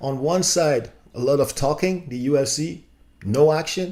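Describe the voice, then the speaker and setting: A man speaks with a non-native accent. His pitch is fairly high and his pace fairly slow. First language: not English. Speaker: YouTube commentator. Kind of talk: casual commentary video. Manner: animated; halting, many fillers.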